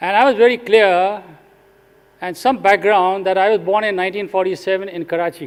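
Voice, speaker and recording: Talking at a fairly quick pace, a man with an Indian accent has a high voice. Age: 70s. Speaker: retired executive turned social sector leader. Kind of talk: conference talk.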